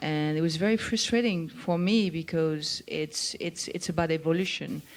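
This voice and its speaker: Speaking at a fairly slow pace, a woman with a French accent has a fairly low pitch. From France. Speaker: chef. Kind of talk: live onstage conversation. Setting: stage with audience.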